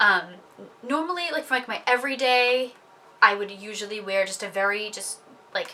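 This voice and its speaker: A woman with a fairly high pitch speaks at a moderate pace with lively intonation and big swings in loudness. Long, frequent pauses and noticeable background noise mark the recording. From New England. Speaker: beauty vlogger. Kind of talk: product review monologue. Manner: casual with many fillers.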